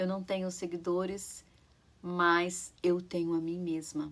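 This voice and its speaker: At a fairly slow pace, a woman speaks in a fairly low pitch with fairly even intonation. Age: 40s. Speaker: YouTuber sharing public speaking tips. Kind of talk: motivational talk to camera. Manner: halting, with fillers.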